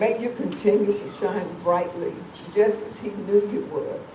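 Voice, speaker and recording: The speech moves at a fairly slow pace. Noticeable background noise runs behind it. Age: 70s. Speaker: charity foundation founder and event emcee. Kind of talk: reading aloud a prepared tribute.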